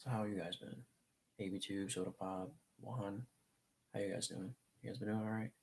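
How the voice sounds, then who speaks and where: A soft-spoken man talks at a moderate pace with a fairly low pitch. His intonation stays fairly even, broken by long, frequent pauses. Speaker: live streamer. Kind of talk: casual chat. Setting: live stream from a desk in a different room.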